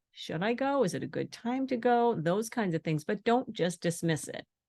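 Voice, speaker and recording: A woman with an unremarkable speaking voice and lively intonation, against a quiet background. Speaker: intuitive energy healing coach. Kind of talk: webinar presentation.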